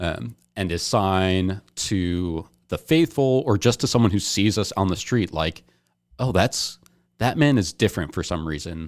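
Lively intonation comes at a fairly slow pace in a very clean recording with a silent background. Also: man, very deep, low pitch for a man. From New Jersey. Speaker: seminarian. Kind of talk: casual chat.

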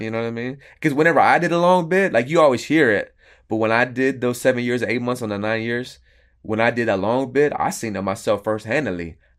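Very fast and lively in intonation, a man speaks with an American accent at a medium pitch. The recording is very clean, with a silent background. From Florida, US South. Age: 30s. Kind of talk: casual interview testimony.

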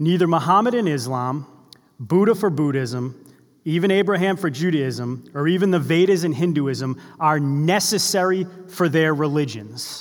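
Here is a man with an ordinary speaking voice, fairly high in pitch and with an American accent. He talks at a fairly slow pace with lively intonation. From US Northeast, Boston area. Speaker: preacher. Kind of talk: sermon. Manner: conversational, with fillers and repetitions.

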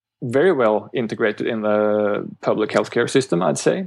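A man speaks with a Norwegian accent. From Norway. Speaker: chiropractor and medical student. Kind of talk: interview. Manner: slightly halting, searching for words.

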